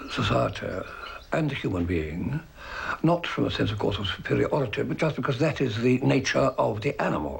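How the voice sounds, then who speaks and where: Noticeable background noise is present throughout. Over it, a man speaks fairly quickly. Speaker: poet. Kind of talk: interview answer.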